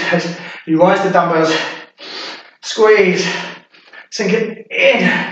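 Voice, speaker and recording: In a room with audible echo but a quiet background, a man speaks at a very slow pace in a high voice. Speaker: fitness instructor. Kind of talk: workout coaching. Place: home room. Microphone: camera far.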